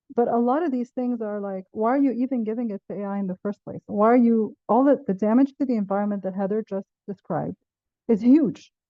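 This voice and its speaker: A woman at a moderate pace, fairly high in pitch, with ordinary pitch variation. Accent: Arabic. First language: Arabic. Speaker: professor. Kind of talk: panel discussion.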